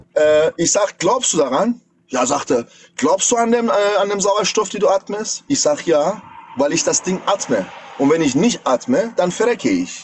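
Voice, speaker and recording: A man with a high pitch and very wide pitch swings talks over light background noise. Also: moderate pace. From Iran. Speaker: caller, pilot; caller. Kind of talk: casual chat, storytelling. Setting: livestream video call. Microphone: phone near.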